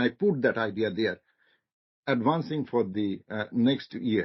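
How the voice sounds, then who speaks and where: A non-native accent at a moderate pace. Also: man. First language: not English. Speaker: marketing lecturer, guest speaker. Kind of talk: seminar discussion. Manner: halting, repetitive starts.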